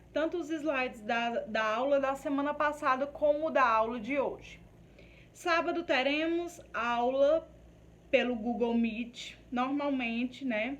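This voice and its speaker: Audible room echo surrounds a woman with a high-pitched voice. She speaks very slowly, with ordinary pitch variation. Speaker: nursing course teacher. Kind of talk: lecture. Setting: recorded video class. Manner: stammering.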